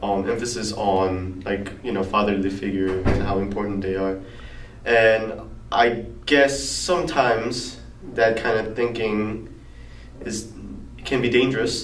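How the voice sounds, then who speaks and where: A man with a Korean accent at fairly low pitch and a fairly slow pace, with long, frequent pauses, audible room echo and noticeable background noise. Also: ordinary pitch variation. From South Korea. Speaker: college student interviewee. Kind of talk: interview answers. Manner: halting.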